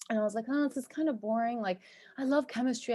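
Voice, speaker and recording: A woman talks at a very fast pace with a high pitch and a dark, mellow tone. The recording is very clean, with a silent background. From US, New York and New Jersey. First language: Turkish. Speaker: cosmetic chemist and entrepreneur. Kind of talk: podcast interview.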